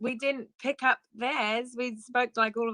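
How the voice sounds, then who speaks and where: A bright, sharp tone comes through with an English accent at a very slow pace. The sound is dry and close, with no echo. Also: woman. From southeast England (Ashford, Kent). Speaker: worship leader and entrepreneur. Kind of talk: testimony.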